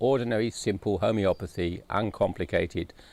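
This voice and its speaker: A man talks at a moderate pace with ordinary pitch variation. It is a plain, everyday voice. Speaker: homeopath. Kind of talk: interview testimony.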